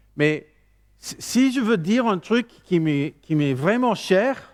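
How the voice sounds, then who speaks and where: The speaker has an English accent and talks at a very slow pace. The pitch swings very widely. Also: man. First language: English (speaking French). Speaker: preacher. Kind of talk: sermon. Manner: halting.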